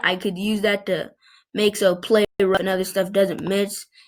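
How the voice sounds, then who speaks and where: A squeaky woman's voice at a moderate pace. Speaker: video game player. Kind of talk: casual gaming commentary. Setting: computer microphone.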